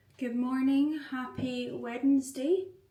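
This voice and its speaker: The voice shows ordinary pitch variation, with audible room echo in the recording. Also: woman. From Scotland, Glasgow. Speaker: vlogger. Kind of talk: casual vlog talk to camera. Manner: chatty, filler-heavy.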